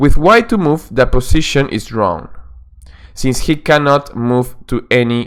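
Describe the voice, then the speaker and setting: Speaking at a fairly slow pace, a man with a Peruvian accent talks at a medium pitch. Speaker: chess coach. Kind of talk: instructional lesson narration. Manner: hesitant, with fillers.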